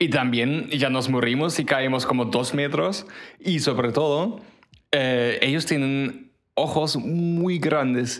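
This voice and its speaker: Speaking at a very slow pace, a man has a German accent and very even loudness. Audible room echo surrounds his voice. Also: fairly high pitch for a man, ordinary pitch variation. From Germany. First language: German (speaking Spanish). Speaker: podcast co-host. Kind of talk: casual chat.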